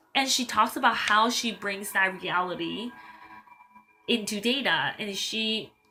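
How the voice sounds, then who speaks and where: Music plays in the background as a woman talks at a fairly high pitch with ordinary pitch variation. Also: fairly slow pace. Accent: slight non-native. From Taiwan. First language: Mandarin. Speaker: tarot reader and life coach. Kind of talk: tarot pick-a-card reading, casual talk to viewers. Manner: hesitant with fillers and repeats.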